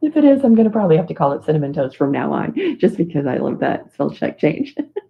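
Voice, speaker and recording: A woman mumbles at a very fast pace. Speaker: livestream host, mandala drawing group leader. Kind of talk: casual livestream chat. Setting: live video stream. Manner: mumbling.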